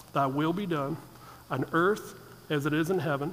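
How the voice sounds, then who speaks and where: A man talks at a moderate pace. His pitch is fairly high, with ordinary variation. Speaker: preacher. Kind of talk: sermon. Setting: church. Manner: jokey, casual, conversational; earnest, fervent, steady in prayer. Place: church. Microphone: headset.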